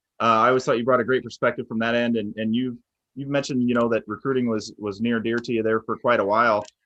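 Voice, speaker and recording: A man with an American accent talks at a very fast pace in a medium pitch. His intonation is monotone and flat, over a quiet background. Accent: Minnesota accent when drinking. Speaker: podcast host. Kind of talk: casual chat.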